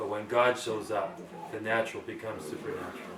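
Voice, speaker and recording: A man talking at a fairly quick pace, with noticeable background noise and audible room echo. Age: 70s. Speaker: pastor. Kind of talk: sermon. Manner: halting.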